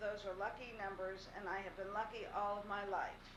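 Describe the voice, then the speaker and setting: A woman's medium-pitched voice in an American accent, at a moderate pace with monotone, flat intonation, over noticeable background noise. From Pittsburgh, Pennsylvania. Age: 60s. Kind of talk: recorded farewell message read to camera.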